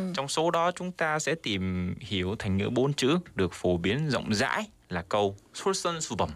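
Over a silent background in a very clean recording, a man speaks fairly slowly with very wide pitch swings. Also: medium pitch for a man, hardly any pauses. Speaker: student and radio segment presenter. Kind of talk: radio news segment.

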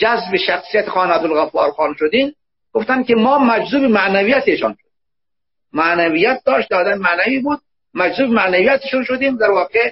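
The speaker is a man with lively intonation. His pace is fairly quick. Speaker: university professor and book translator. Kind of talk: discussion of a book.

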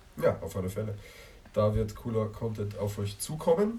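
Noticeable background noise sits behind a man talking with lively intonation. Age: young. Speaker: podcast host, youth group member. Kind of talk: casual chat. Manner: hesitant, many fillers.

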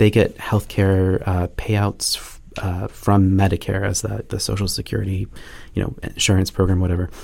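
This man has a very deep, low voice and an American accent, speaking at a moderate pace in a somewhat breathy, monotone, flat delivery. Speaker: penetration testing manager. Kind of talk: podcast interview. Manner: halting, many fillers and restarts.

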